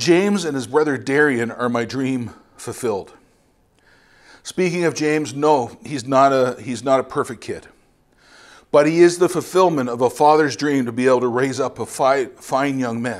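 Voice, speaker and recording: A man with a Canadian accent, a normal speaking voice, medium pitch, ordinary pitch variation and a moderate pace, in a very clean recording with a silent background. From Ontario, Canada. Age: 50s. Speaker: missionary preacher. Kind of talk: sermon. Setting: church.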